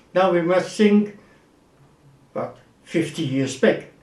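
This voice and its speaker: A man with a German accent at a high pitch, ordinary pitch variation and a very slow pace, with audible room echo. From Germany, Wuppertal. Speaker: actor. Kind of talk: interview.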